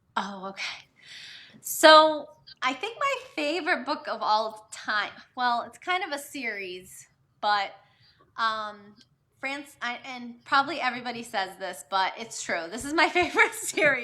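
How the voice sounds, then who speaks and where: Speaking with a slight Boston accent and a bright, sharp tone, this voice moves at a fairly slow pace with long, frequent pauses. The pitch swings very widely and the loudness rises and falls a great deal. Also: woman, high pitch for a woman. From Massachusetts, Boston area. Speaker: novelist. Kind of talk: live video chat interview. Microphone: quieter, more distant.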